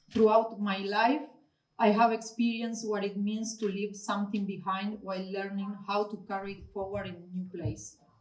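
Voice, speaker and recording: Delivered at a moderate pace, the monotone, flat voice shows big swings in loudness amid audible room echo. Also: woman, medium pitch for a woman. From Argentina. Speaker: gallery owner and artist. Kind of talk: opening speech. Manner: formal.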